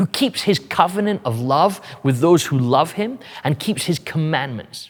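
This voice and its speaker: His pitch swings very widely as this man talks at a fairly slow pace. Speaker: pastor. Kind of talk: sermon delivered to a congregation.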